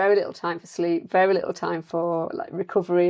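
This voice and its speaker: Fairly low in pitch, a woman with an English accent talks at a fairly quick pace. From northern England, South Yorkshire. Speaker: nutritional therapist. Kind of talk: interview.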